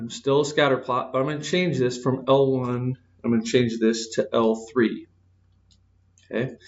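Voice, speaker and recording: At a moderate pace, a man speaks in a medium pitch with fairly even intonation and long, frequent pauses. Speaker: math teacher. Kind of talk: lecture. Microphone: echo in room.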